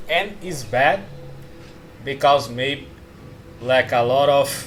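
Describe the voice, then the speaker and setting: Over noticeable background noise, a man with a non-native accent speaks at a very slow pace with ordinary pitch variation. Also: fairly high pitch for a man. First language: not English. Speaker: self-help coach. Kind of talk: casual talk-style course. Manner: halting.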